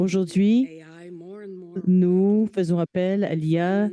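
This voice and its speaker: A woman with a Quebec accent at a very slow pace. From Quebec (Sherbrooke). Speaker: patient partner and research coordinator. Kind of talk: conference keynote talk. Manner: hesitant, with filler sounds.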